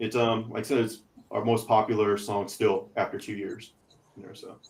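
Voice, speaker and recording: A man's somewhat breathy, medium-pitched voice with a Texas accent at a moderate pace. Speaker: podcast co-host and metal band member. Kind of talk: casual chat. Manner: hesitant, many fillers.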